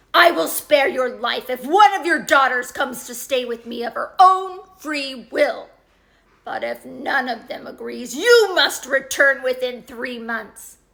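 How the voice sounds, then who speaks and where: Using a put-on character voice, a woman speaks fairly slowly at a high pitch. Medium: read story. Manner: gruff.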